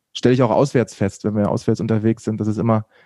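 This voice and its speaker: A man's medium-pitched, monotone voice with flat intonation, in a dry, close recording with no echo. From Lower Saxony, Braunschweig area. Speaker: TV news presenter and reporter. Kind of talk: casual interview. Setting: remote call.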